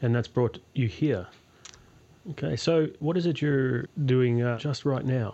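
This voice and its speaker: Speech moves at a fairly slow pace with ordinary pitch variation and very even loudness. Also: man, medium pitch for a man. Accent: Australian. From Australia. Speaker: podcast host, senior lecturer. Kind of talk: interview.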